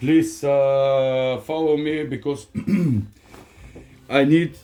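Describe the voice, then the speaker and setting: Very slowly and with fairly even intonation, a man with a fairly high pitch speaks with a non-native accent. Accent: foreign accent in English, self-noted. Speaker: workshop vlogger, tradesman. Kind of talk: casual vlog ramble. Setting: home workshop. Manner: halting, many fillers.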